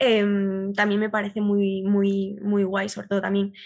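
Music runs in the background. A woman with a medium pitch speaks at a fairly slow pace. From Galicia, Spain. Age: 20s. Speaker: art history communicator and student. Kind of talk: casual interview chat. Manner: halting, repeats words.

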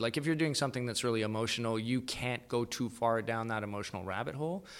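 A man with a Canadian accent, medium pitch, a bright, sharp tone, and a very fast pace. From Canada, Calgary (Alberta). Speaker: actor, producer and writer. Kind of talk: casual interview chat.

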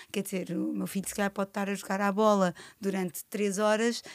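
A woman with a plain, everyday voice at medium pitch. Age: 40s. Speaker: podcast host and nutritionist. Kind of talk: casual interview.

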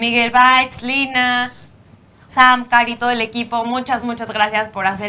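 A high-pitched woman's voice with a Mexican accent, a bright, sharp tone, fairly even intonation and a moderate pace. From Mexico. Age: young. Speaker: podcast host. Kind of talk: casual chat; show intro and outro.

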